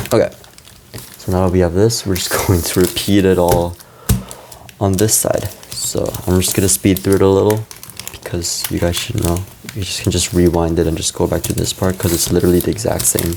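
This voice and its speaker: The speech moves at a fairly quick pace but has long, frequent pauses. Noticeable background noise is present. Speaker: origami tutorial creator. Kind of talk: tutorial. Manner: casual, self-correcting.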